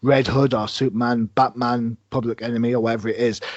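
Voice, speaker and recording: A man's medium-pitched voice comes through in a British accent. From Britain. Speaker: podcast host. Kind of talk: interview conversation.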